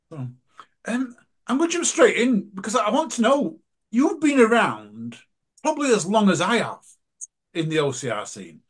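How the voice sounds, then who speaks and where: Speaking with an English accent at a fairly slow pace, a man with a high pitch makes very wide pitch swings and big swings in loudness, pausing long and often. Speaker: podcast host. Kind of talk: casual chat. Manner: animated.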